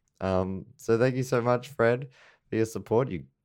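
A man with an Australian accent on a very clean recording, the background silent. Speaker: comedy podcast host. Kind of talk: casual chat.

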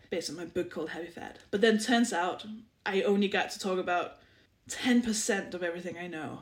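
A woman speaks at a moderate pace with a Danish accent. Her pitch is medium, with ordinary variation. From Denmark, small village. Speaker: comedian and author. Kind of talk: casual chat.

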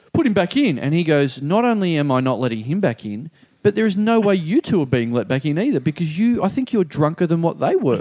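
A man with an Australian accent talks at a fairly quick pace with hardly any pauses, his high, dark, mellow voice swinging very widely in pitch. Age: 30s. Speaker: comedian podcast co-host. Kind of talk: casual chat. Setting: studio.

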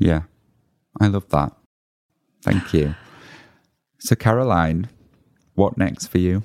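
A man speaks at a very slow pace with long, frequent pauses. His very deep, low pitch has ordinary pitch variation, and his loudness stays very even. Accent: British. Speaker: podcast host. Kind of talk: casual interview chat.

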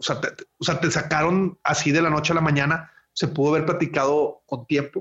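Speaking at a fairly quick pace, a man delivers his words in a monotone, flat intonation. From Monterrey, northern Mexico. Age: 40s. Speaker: wedding photographer. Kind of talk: casual interview. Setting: remote call from home. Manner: halting, repeats words.

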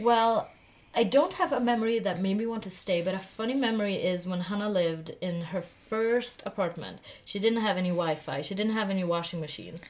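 This woman talks at a fairly quick pace with a Swedish accent. Her pitch sits in the medium range. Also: ordinary pitch variation. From Sweden. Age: 20s. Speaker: podcast co-host. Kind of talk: casual chat. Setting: sitting in a loft bed.

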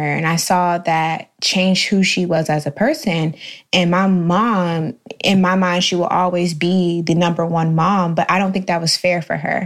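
With an American accent, a woman uses an ordinary speaking voice, fairly low in pitch, at a moderate pace with fairly even intonation and very even loudness. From Jacksonville, Florida. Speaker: podcast co-host, social coordinator. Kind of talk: casual roundtable chat.

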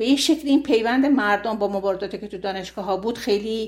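At a very fast pace, a woman talks with a fairly high pitch and lively intonation. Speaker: former expelled history student. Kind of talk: interview testimony.

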